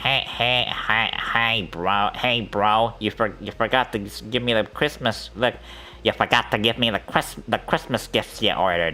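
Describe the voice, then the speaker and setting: A nasal, put-on character voice is heard over clear background noise. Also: man, medium pitch for a man, moderate pace. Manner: casual, complaining.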